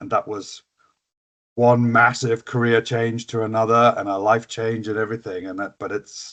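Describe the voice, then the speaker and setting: A man with an American accent, medium pitch and monotone, flat intonation, at a moderate pace with big swings in loudness, over a quiet background. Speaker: skills educator. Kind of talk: casual interview.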